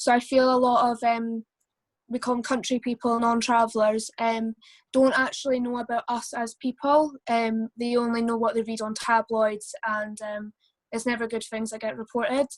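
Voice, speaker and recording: In a Scottish accent, a woman speaks at a moderate pace with a fairly high pitch. Her intonation is monotone and flat, and the sound is dry and close with no echo. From Scotland, Perth/Angus. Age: young. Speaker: community member on panel. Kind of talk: panel discussion. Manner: hesitant.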